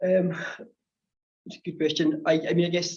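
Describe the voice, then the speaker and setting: Somewhat breathy, a man rattles along at a very fast pace. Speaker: renewable energy consultant. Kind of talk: panel discussion in a webinar.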